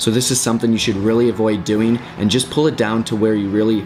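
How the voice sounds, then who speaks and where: A man speaks at a medium pitch in an upbeat tone. Noticeable background noise runs under his voice. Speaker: fitness instructor. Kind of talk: tutorial. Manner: fast; casual, upbeat.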